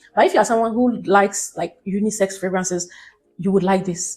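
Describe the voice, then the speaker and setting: Music plays in the background as a woman speaks at a fairly quick pace. Her tone is animated, with ordinary pitch variation. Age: 20s. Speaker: beauty vlogger. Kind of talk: product review vlog.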